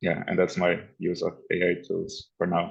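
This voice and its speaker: This man speaks with a non-native accent. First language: not English. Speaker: unconference participant. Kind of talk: group discussion. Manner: halting.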